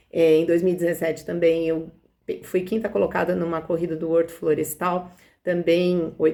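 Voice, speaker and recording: A woman's dark, mellow tone, fairly low in pitch, with monotone, flat intonation. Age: 60s. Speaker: physical education teacher and amateur runner. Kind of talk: personal testimony interview. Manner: hesitant, with fillers and self-corrections.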